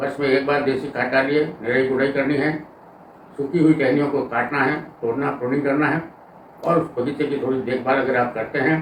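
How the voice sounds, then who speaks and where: Noticeable background noise sits under this man's voice. He speaks fairly high in pitch, monotone and flat. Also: moderate pace. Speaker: farmer and Ayurvedic plant educator. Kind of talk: informative talk to camera about farming.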